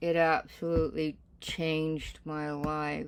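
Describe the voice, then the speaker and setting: This is a woman speaking. Her pitch is fairly low. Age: 60s. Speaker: reverend and spiritual teacher. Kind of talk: casual sermon talk.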